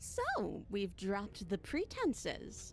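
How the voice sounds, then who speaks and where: At a very slow pace, a woman speaks in a put-on character voice over clear background noise. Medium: video game. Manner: menacing, mocking.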